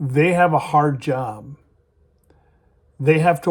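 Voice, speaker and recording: Here a man speaks at a very slow pace. His pitch is fairly high, with ordinary variation. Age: 60s. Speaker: YouTuber giving life advice. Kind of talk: personal storytelling and advice monologue.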